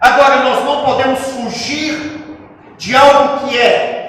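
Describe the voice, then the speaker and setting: A man's extremely high voice with a non-native accent, very slow and fairly even in intonation, with audible room echo. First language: not Portuguese (speaking Portuguese). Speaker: pastor. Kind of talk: sermon. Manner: slow, deliberate.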